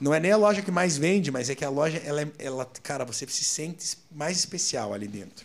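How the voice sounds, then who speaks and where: A man's fairly high voice with lively intonation at a fairly quick pace, hardly any pauses, and noticeable background noise. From Curitiba, southern Brazil. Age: 30s. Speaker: restaurant franchise owner. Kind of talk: casual interview.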